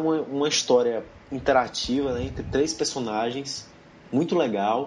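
Using a medium pitch, a man talks at a fairly slow pace with ordinary pitch variation. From Brazil, Ceará. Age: 20s. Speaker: podcast host. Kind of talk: casual chat.

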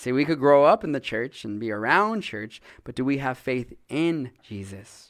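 A man with a plain, everyday voice speaks at medium pitch and a moderate pace, with hardly any pauses. His intonation is lively, his loudness swings widely, and the recording is very clean with a silent background. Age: 30s. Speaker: pastor. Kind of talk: sermon. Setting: church.

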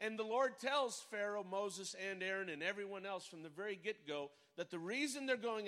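A man with a high voice speaks at a moderate pace in an animated tone. His voice is raised and projected. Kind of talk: sermon. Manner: animated, call-and-response, exhorting the congregation.

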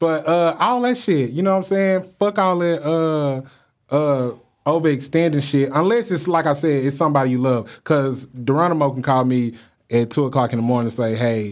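Here is a man with an unremarkable speaking voice and a fairly high pitch. He talks at a moderate pace with lively intonation. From Dallas, Texas. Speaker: podcast co-host. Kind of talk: casual chat.

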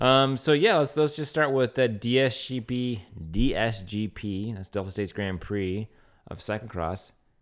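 A man with a plain, everyday voice and an American accent, medium pitch, ordinary pitch variation and a moderate pace, on a very clean recording with a silent background. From Louisiana, US. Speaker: podcast co-host, race caller and race organizer. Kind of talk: casual banter podcast.

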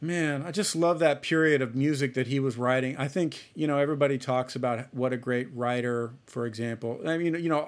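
Here a man has a plain, everyday voice with an American accent. He speaks fairly quickly with fairly even intonation. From Ohio, US Midwest. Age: 30s. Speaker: jazz trumpet player. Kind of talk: casual interview chat.

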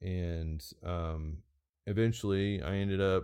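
His pitch sits very deep and low. This man has an American accent. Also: quiet background. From Oregon. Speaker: knife maker. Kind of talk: casual chat. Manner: halting.

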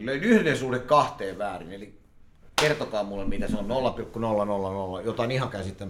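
The voice has lively intonation and moves at a moderate pace. Noticeable background noise and audible room echo surround it. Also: man. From Helsinki, Finland. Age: 40s. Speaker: poker player and market trader. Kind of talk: interview. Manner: loud.

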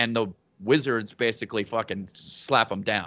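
With a New Mexico accent, this man talks at a moderate pace in a medium pitch, using ordinary pitch variation. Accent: New Mexico US, noticeable. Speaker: stand-up comedian and podcaster. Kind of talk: casual chat.

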